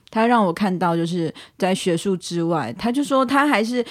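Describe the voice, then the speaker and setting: A woman talks at a moderate pace with lively intonation. Hers is an unremarkable speaking voice. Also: very clean recording, silent background. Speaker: language teacher. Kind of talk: casual chat.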